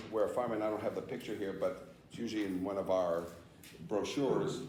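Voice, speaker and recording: Noticeable background noise fills the space, along with audible room echo. Within it, a man talks. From Massachusetts (Somerville, Boston area). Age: 60s. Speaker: fire escape association founder, seminar presenter. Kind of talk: training seminar talk. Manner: conversational, interactive with audience.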